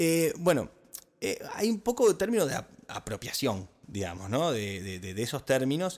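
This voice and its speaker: Speaking at a fairly slow pace, a man leaves long, frequent pauses and swings his pitch very widely. The recording is very clean, the background silent. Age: 30s. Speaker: podcast co-host. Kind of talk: casual chat.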